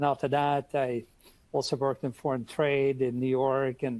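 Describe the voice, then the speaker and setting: With a Norwegian accent, a man speaks at a medium pitch and moderate pace in a monotone, flat intonation, the sound dry and close with no echo. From Norway, Oslo. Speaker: international trade expert. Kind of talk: webinar Q&A.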